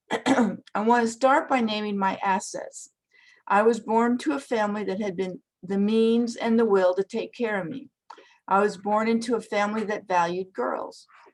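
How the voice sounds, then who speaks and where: Fairly high in pitch, a woman speaks at a moderate pace in an ordinary speaking voice with ordinary pitch variation. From Canada. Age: 60s. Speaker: retired teacher. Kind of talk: prepared talk.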